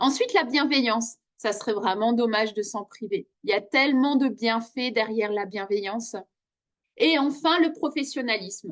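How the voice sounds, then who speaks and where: At a moderate pace, a woman speaks in a normal speaking voice. Her pitch is fairly high, with ordinary variation. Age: 40s. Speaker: coach and trainer. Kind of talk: self-presentation video.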